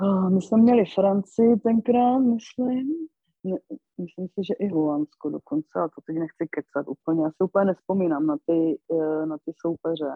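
A woman with a normal speaking voice talks at a moderate pace and medium pitch, her intonation lively. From Moravia, Karviná region. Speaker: former ice hockey player. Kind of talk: interview.

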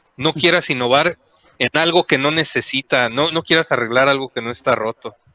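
A man with a Mexican accent speaks at a fairly high pitch in a bright, sharp tone with ordinary pitch variation, recorded dry and close with no echo. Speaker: podcast co-host. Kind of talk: casual chat.

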